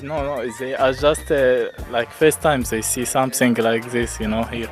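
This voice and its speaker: Music plays in the background while a man speaks at a medium pitch and a fairly slow pace. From Egypt. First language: Arabic. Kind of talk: interview answer. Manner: hesitant, casual.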